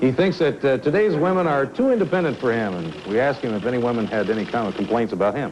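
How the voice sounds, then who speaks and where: Speaking at a very fast pace with hardly any pauses, a man at medium pitch makes very wide pitch swings against noticeable background noise. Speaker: dating show host. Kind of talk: TV dating show.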